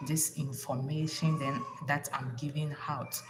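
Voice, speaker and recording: A woman speaks with a Ghanaian accent at a very deep, low pitch. Noticeable background noise and audible room echo fill the recording. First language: Ga. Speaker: relationship advice vlogger. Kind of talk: casual livestream talk. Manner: animated; halting.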